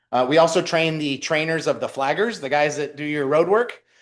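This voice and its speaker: With a quiet background, a man's voice shows ordinary pitch variation. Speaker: small business development center director presenting to a city commission. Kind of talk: presentation at a public meeting. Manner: fast; loud.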